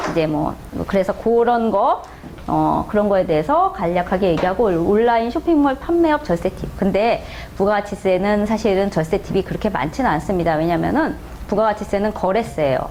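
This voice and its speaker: Amid noticeable background noise, a woman with a medium pitch talks at a fairly quick pace, making very wide pitch swings at a very even loudness. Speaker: tax accountant lecturer. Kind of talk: lecture. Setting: classroom with audience. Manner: fast.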